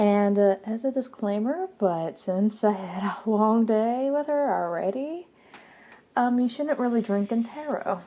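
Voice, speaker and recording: Soft-spoken and fairly high-pitched, a woman talks at a fairly slow pace with very even loudness. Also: lively intonation. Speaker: tarot youtuber. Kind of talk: casual vlog chat.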